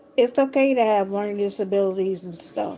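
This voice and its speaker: A woman's medium-pitched voice at a fairly quick pace, with ordinary pitch variation and music in the background. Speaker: talk show host. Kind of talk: talk show monologue. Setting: live stream.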